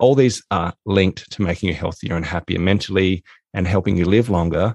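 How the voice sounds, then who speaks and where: A man with an Australian accent speaks at a moderate pace in a very deep, low voice with fairly even intonation. The sound is dry and close with no echo, against a quiet background. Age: 40s. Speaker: author and productivity consultant. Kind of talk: interview.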